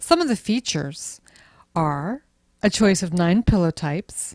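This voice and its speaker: On a very clean recording with a silent background, a woman with a plain, everyday voice speaks at a medium pitch and a moderate pace, using lively intonation. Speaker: luxury travel specialist. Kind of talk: travel ship tour presentation.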